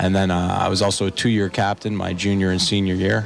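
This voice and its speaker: With music in the background, a man in a Canadian accent talks at a fairly quick pace and a fairly low pitch. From Canada. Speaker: assistant hockey coach. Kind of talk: radio interview. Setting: live radio broadcast from restaurant.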